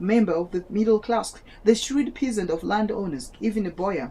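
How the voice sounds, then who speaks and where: The tone is dark and mellow. Pitch varies in an ordinary way, and the pace is moderate. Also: woman. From Malawi. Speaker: student reading aloud for video. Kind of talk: casual commentary; reading aloud with commentary. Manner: halting, self-correcting.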